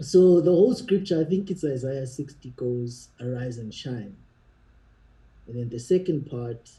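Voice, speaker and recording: A man's dark, mellow, somewhat breathy voice at a fairly slow pace, with lively intonation and big swings in loudness. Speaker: singer and songwriter. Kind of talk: casual chat.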